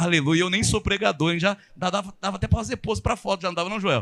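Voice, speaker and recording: A man speaks at a fairly quick pace. His tone is animated. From São Paulo, Brazil. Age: 50s. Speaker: pastor. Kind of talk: sermon. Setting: church. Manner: fast.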